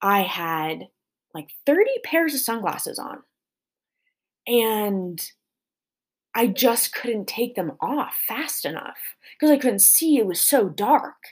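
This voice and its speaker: With a General American accent, a woman speaks very slowly in a fairly high voice that swings very widely in pitch. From small-town Colorado. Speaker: podcast host, dancer and fitness coach. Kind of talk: solo podcast monologue. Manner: casual with frequent fillers.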